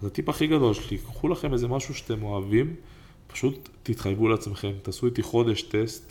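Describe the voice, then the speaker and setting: Somewhat breathy and at a medium pitch, a man speaks at a moderate pace with lively intonation. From Israel, Ramla. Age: 30s. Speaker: entrepreneur and podcast co-host. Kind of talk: casual chat. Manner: animated.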